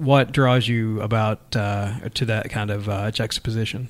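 With a normal speaking voice, a man talks at a medium pitch and a moderate pace. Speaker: magazine editor and podcast host. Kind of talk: interview. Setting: studio.

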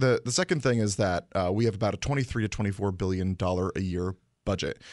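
A man with an American accent speaks at a fairly quick pace in a normal speaking voice, his pitch fairly low. The sound is dry and close with no echo, over a quiet background. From Connecticut. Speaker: state legislator. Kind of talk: interview. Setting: studio.

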